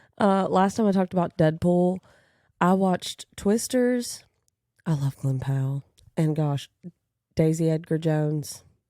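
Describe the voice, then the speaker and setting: Speaking at a fairly slow pace with long, frequent pauses, this voice has a Kentucky accent and a dark, mellow tone, recorded with a dry, close sound and no echo. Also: woman, fairly low pitch for a woman, ordinary pitch variation, very even loudness. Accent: country Kentucky. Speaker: podcast host. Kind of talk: casual monologue. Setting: home apartment recording.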